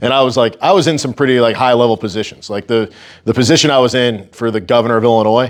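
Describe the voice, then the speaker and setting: This is a man with an ordinary speaking voice. His pitch varies in an ordinary way. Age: 30s. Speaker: strength coach and gym owner. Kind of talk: talk to a local group. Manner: casual, filler-heavy.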